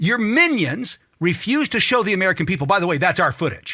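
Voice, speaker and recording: A man talks in an animated tone. His voice sounds bright and sharp. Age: 50s. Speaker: talk show host. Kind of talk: political commentary rant. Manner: animated, heated.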